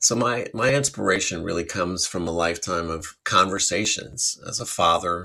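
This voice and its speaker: Recorded very cleanly over a silent background, a man with an American accent speaks at a fairly slow pace in a very deep, low pitch with a bright, sharp tone. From US Midwest, Chicago suburbs. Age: 50s. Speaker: podcast host and self-published author. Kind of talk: casual monologue. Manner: conversational.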